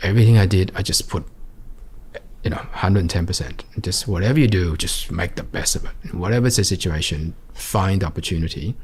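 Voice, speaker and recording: With an Australian accent, a man speaks in a very deep, low voice at a fairly quick pace, his pitch varying in an ordinary way over noticeable background noise. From Australia, Sydney's western suburbs. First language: Vietnamese. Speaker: entrepreneur. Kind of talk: interview. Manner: halting.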